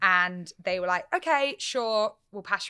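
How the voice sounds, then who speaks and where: Bright and sharp in tone, a woman speaks at a moderate pace on a very clean recording with a silent background. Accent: English. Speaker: radio presenter. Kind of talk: interview. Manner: loud; animated.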